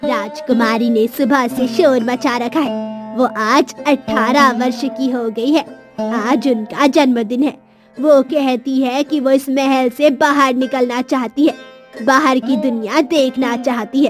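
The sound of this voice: A woman's cartoonish character voice, high-pitched, at a moderate pace over faint music in the background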